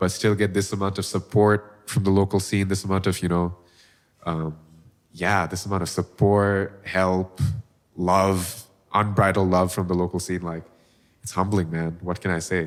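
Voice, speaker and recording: A man with a Bengali accent, very deep, low pitch, monotone, flat intonation, and a moderate pace. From Bangladesh. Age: 20s. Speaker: singer-songwriter. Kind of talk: casual interview chat. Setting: studio.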